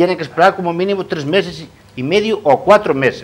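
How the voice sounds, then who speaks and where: The speaker is a man. His delivery is fairly quick. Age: 60s. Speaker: coal truck driver; guest. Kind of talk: TV panel discussion. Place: studio. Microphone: lapel.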